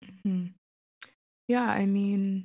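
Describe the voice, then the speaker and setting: A woman with an American accent speaks at a very slow pace in a medium pitch, somewhat breathy and with a dark, mellow tone. The background is quiet. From US, Pittsburgh. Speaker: author and writer. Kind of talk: casual chat.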